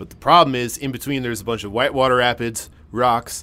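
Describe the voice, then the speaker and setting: Using an unremarkable speaking voice, a man talks at a fairly quick pace and medium pitch. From Massachusetts. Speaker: podcast host. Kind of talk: casual interview chat. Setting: underground mine shaft set.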